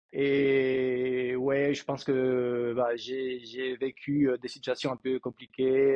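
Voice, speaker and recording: Medium pitch and monotone, flat intonation from a man. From Spain (Madrid). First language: Spanish (speaking French). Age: 40s. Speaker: coaching client. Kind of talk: interview. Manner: halting.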